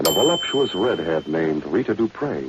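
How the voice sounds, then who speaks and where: A man with a very deep, low pitch and very wide pitch swings, at a moderate pace over noticeable background noise. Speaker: radio drama announcer / narrator. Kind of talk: old-time radio drama narration. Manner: dramatic, suspenseful.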